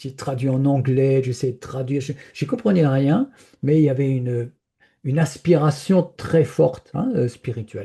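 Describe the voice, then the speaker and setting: With ordinary pitch variation, a man talks in a somewhat breathy, medium-pitched voice with a dark, mellow tone over a quiet background. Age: 70s. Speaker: spiritual speaker. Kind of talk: personal testimony in an interview. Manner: hesitant, many fillers and repetitions.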